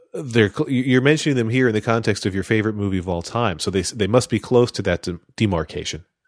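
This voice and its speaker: Speaking at a fairly low pitch with ordinary pitch variation, a man talks very fast with hardly any pauses. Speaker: podcast host. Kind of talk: comedic game show panel chat. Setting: remote audio call.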